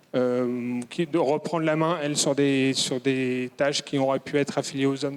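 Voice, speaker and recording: This man's voice sits at a fairly high pitch. The intonation he uses is fairly even. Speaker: audience member asking questions. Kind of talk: audience question at a conference. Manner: hesitant, many fillers.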